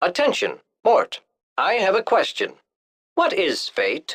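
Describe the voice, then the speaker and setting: High pitch marks this put-on character voice. Its pace is fairly slow. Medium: video game. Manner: stiff, formal, literal.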